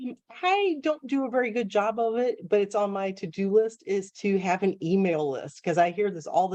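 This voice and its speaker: Lively intonation marks a woman's speech with an American accent. Her tone is dark and mellow. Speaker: young adult author. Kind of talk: Q&A after lecture. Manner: fast.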